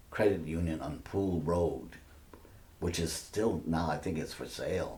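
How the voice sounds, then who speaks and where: A man speaks at a moderate pace with vocal fry and a dark, mellow tone. His intonation stays fairly even, and audible room echo surrounds his voice. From Maine, Biddeford (Franco-American). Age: 80s+. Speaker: retired French professor and author. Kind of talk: oral history interview. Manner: halting, with frequent fillers and repeats.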